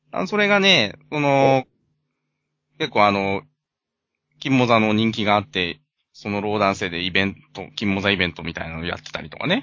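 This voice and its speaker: Pausing long and often, a man speaks at a moderate pace with big swings in loudness. His pitch is fairly low, with ordinary variation. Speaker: podcast co-host. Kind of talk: casual chat.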